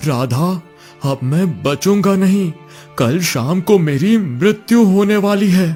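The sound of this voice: A man's put-on character voice, high-pitched for a man, with a dark, mellow tone, lively intonation and a slow pace over faint background music.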